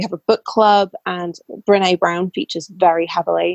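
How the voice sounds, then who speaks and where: Fairly even intonation at a moderate pace, in a British accent. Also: woman. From England. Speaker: burnout mentor and former lawyer. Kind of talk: casual interview.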